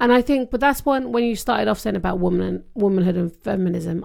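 A woman with a British accent talks at a fairly quick pace in a dark, mellow tone, her intonation lively. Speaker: podcast co-host. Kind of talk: casual chat.

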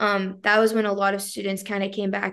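Speaking at a fairly quick pace, a woman has a normal speaking voice at a medium pitch. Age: 20s. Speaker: seminary student and former student newspaper editor. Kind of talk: interview. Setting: video call.

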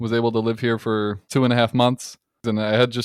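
Medium-pitched man with a Midwestern US accent and fairly even intonation, dry and close with no echo, on a very clean recording with a silent background. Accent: US Midwest. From Detroit suburbs, Michigan, US. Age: 20s. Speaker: mechanical engineer and content creator. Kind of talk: casual chat.

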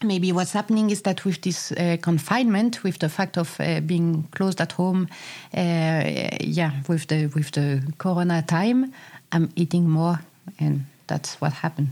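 Speaking at a fairly slow pace with a non-native accent, a woman has a fairly low pitch and a dark, mellow tone. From France. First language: French. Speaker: podcast co-host. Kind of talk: casual chat.

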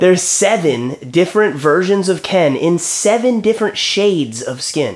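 A loud, animated man's voice, high in pitch, with lively intonation, a moderate pace and hardly any pauses. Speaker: podcast co-host. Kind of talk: casual banter, comedic chat.

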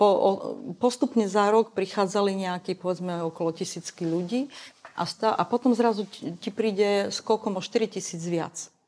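With an unremarkable speaking voice, a woman of medium pitch talks at a moderate pace and ordinary pitch variation. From eastern Slovakia, Košice. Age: 50s. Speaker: LGBT activist. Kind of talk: interview.

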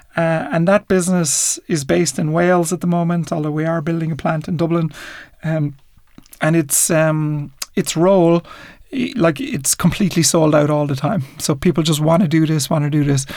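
A man with an Irish accent, fairly high pitch, ordinary pitch variation and a moderate pace. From Ireland. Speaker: entrepreneur. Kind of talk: interview. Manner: hesitant fillers.

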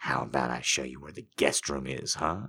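A growling, put-on character voice. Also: man, big swings in loudness. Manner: growling, menacing.

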